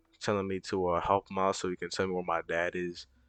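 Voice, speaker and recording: Over a quiet background, a man's fairly low voice comes through with a dry, close sound and no echo. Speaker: gaming YouTuber. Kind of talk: let's play commentary. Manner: halting, many fillers; casual.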